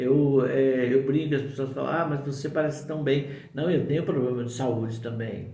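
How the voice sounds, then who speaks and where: There is audible room echo and noticeable background noise. A man speaks at a fairly high pitch with fairly even intonation. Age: 60s. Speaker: spiritual teacher. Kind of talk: spiritual talk to camera. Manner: informal, conversational with fillers.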